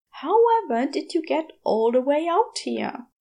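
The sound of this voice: A woman does a put-on character voice, high-pitched with a dark, mellow tone and vocal fry. She speaks at a fairly slow pace with big pitch swings.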